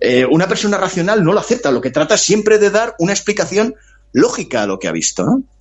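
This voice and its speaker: Very wide pitch swings from a man speaking at a fairly quick pace. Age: 60s. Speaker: author. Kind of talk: interview.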